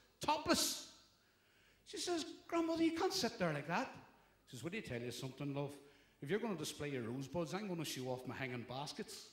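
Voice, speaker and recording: A man in a Belfast accent at a fairly quick pace, with long, frequent pauses. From Northern Ireland, Belfast. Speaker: stand-up comedian. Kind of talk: stand-up.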